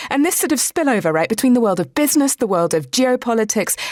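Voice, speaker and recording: A woman in a British accent, her pitch swinging very widely. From Britain. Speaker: radio host. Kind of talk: news podcast interview.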